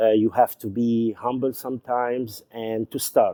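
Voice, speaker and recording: A man with a Lebanese accent speaks at a fairly slow pace in a dark, mellow tone. The sound is dry and close with no echo. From Lebanon. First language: Arabic. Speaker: YouTube show host, former journalist and TV presenter. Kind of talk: casual storytelling monologue. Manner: halting, with frequent fillers.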